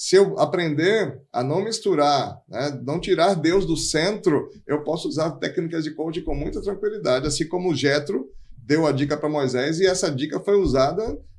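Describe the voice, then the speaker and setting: With a plain, everyday voice, a man speaks at a moderate pace and fairly high pitch, using ordinary pitch variation and hardly any pauses. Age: 50s. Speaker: pastor and life coach. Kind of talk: podcast interview.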